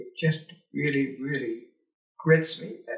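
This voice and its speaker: A man talks with a Canadian Prairie accent. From rural Alberta, Canada. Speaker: retired teacher and politician. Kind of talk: oral history interview. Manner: halting, many fillers.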